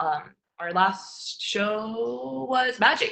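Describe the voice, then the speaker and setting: A woman's voice at a medium pitch. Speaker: marketing team member presenting a webinar. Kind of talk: webinar tutorial. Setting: live streamed webinar. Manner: fast.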